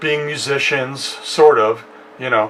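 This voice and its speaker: Over noticeable background noise, a man with an American accent talks at a fairly slow pace. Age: 60s. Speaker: musician and home studio youtuber. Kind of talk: casual personal storytelling. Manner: hesitant with many fillers.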